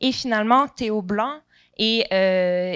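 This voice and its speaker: Heard in a very clean recording with a silent background and a dry, close sound with no echo, the voice has a Quebec accent and ordinary pitch variation. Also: woman. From Quebec, Montreal. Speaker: researcher and panel moderator. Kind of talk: panel introduction.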